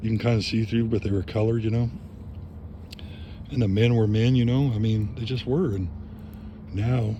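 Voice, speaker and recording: Fairly quick and medium-pitched, a man speaks with fairly even intonation. Audible room echo is present. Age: 60s. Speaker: vlogger. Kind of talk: casual monologue. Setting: outdoors by a fire. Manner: reflective, conversational.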